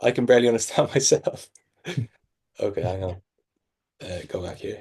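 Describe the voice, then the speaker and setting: This man talks at a fairly quick pace with a strong Irish accent. His loudness swings widely. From Ireland. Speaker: sales coach. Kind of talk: sales training breakdown.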